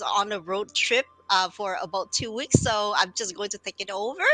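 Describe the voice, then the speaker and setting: With a Vietnamese accent, a woman speaks at a moderate pace and medium pitch. Her intonation is fairly even, and there is noticeable background noise. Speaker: business owner, live stream host. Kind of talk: casual live stream introduction.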